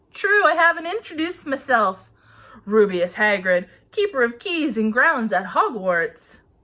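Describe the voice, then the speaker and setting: A woman's put-on character voice, high in pitch with very wide pitch swings, at a moderate pace. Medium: read story. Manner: rough, blunt, ungrammatical speech.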